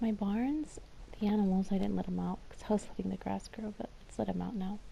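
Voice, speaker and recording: The voice is quiet and moves at a very fast pace. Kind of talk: casual gameplay commentary. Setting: home recording.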